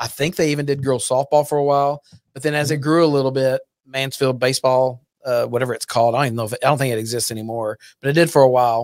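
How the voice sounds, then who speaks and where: Speaking at a very fast pace, a man with an American accent uses a medium pitch and fairly even intonation. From Texas, Fort Worth area. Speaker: youth baseball league president. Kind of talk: casual chat.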